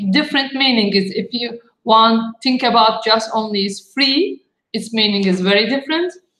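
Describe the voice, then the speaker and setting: A woman with a Turkish accent speaks in a fairly high voice with ordinary pitch variation. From Turkey, Istanbul. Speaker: architect. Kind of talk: panel talk. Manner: halting.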